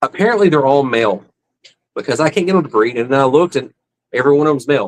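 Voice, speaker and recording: A man with a Southern US accent talks at a very fast pace, his pitch fairly high with ordinary variation. The sound is dry and close, without echo. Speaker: fish-keeping livestreamer. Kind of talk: casual livestream chat. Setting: live stream at home.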